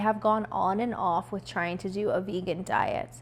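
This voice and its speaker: A woman talks at a fairly slow pace with fairly even intonation in an ordinary speaking voice. The recording is very clean, with a silent background. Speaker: lifestyle vlogger. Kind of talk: personal reflection monologue.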